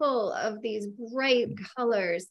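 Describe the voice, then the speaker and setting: A woman speaks at a fairly slow pace with ordinary pitch variation. Her voice is fairly high, over a quiet background. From Minnesota, US. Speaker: cookbook author and baker; interviewer. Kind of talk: casual interview chat. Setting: video call. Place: kitchen. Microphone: video call.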